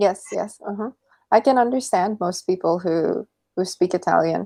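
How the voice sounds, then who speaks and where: A woman with a Filipino accent, medium pitch and a dark, mellow tone at a moderate pace, on a very clean recording with a silent background and a dry, close sound with no echo. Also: ordinary pitch variation. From Philippines. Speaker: online English tutor. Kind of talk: casual chat.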